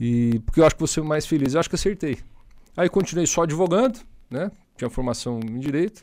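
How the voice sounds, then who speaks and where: Over a silent background in a very clean recording, a man with a fairly high pitch talks very fast with lively intonation. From Paraná, Brazil (Maringá). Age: 30s. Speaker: state politician. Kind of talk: podcast interview.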